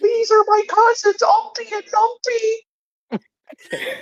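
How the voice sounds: The speaker uses a put-on character voice at an extremely high pitch. The pace is fairly slow.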